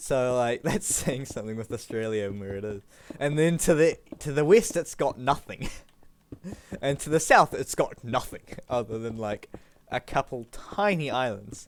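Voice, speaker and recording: A man with a New Zealand accent, at a moderate pace with ordinary pitch variation. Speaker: gaming streamer. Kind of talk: casual chat. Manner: halting, many fillers.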